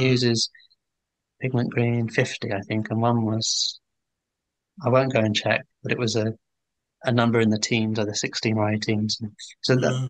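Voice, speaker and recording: Against a quiet background, a man speaks in a southern English accent. The sound is dry with no echo, and his intonation is fairly even. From England, Hertfordshire; England. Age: 40s. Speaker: painter; guest. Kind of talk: interview conversation. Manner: hesitant, many fillers. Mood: relaxed, reflective. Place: home room. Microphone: video call.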